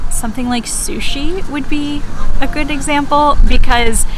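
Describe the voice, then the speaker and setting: A woman with an American accent at a fairly slow pace, ordinary pitch variation, audible room echo and noticeable background noise. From United States. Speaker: English teacher. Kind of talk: educational explainer. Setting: outdoors in a park. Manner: casual, conversational.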